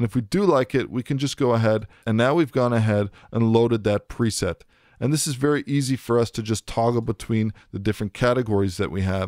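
On a very clean recording with a silent background, a man speaks at a fairly quick pace and medium pitch in a dry, close sound with no echo. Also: ordinary pitch variation. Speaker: audio product demonstrator. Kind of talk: tutorial.

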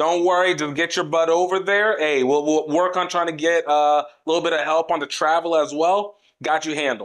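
Against a quiet background, a man talks at a fairly quick pace in a high pitch, with fairly even intonation and very even loudness. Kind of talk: comedic skit phone dialogue. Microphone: lapel.

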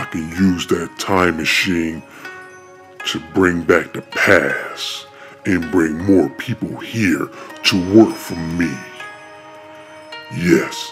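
Clear music plays in the background. A man speaks at a very slow pace with a very deep, low pitch. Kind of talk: amateur fan-film voice acting. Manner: bossy, impatient, gloating.

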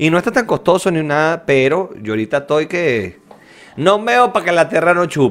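A man talks in a high pitch at a moderate pace with a Venezuelan accent. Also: lively intonation. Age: 20s. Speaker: podcast co-host. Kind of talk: casual chat. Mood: joking, animated. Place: home room. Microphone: studio mic.

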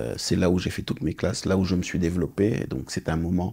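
A man's very deep, low voice with a dark, mellow tone. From Senegal, raised in India, Malaysia and Australia, then Morocco. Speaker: business executive; interview guest. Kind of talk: interview. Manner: halting, frequent hesitations. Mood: calm, reflective. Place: studio. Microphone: lapel.

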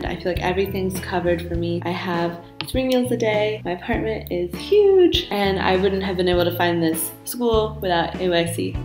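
A woman with an American accent at a moderate pace, hardly any pauses, and clear music in the background. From Dallas, Texas. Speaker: English teacher in China. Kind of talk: casual talk to camera. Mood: cheerful, upbeat. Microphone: webcam.

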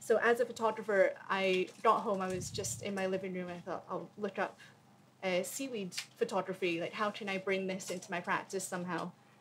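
A woman speaks at a fairly quick pace with fairly even intonation and a somewhat breathy quality. Light background noise sits behind her. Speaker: panelist. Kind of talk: panel talk. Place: tent. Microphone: podium.

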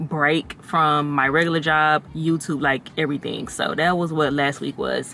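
A woman speaks fairly slowly in a low, fairly bright voice with ordinary pitch variation.

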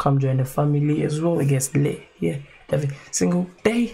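Somewhat breathy with a dark, mellow tone, a man speaks at a fairly high pitch and a moderate pace over light background noise. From UK. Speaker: YouTube reaction creator; reaction video host. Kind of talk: casual vlog talk. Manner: relaxed, casual.

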